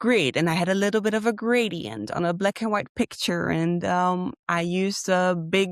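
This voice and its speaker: A woman with a Dutch accent, medium pitch and ordinary pitch variation, in a very clean recording with a silent background and a dry, close sound with no echo. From Netherlands. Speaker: graphic design graduate. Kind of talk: interview.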